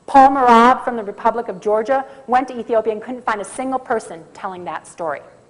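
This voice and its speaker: With an American accent, a woman talks at a fairly quick pace in a fairly high pitch, showing ordinary pitch variation. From US Midwest, Minnesota. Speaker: conference speaker on coffee. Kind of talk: conference talk. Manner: fast.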